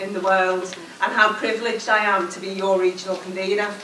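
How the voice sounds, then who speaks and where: Light background noise and audible room echo surround a woman speaking at a moderate pace in a monotone, flat intonation. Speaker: trade union regional convenor. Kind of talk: conference closing speech. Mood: forceful, rallying. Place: hall.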